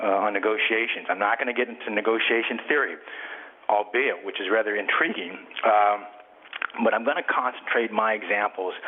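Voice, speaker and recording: A man's fairly low voice at a fairly quick pace, fairly even in intonation, over noticeable background noise. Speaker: real estate broker and author. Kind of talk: webinar presentation. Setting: webinar, audio conference. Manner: fast; halting, many fillers.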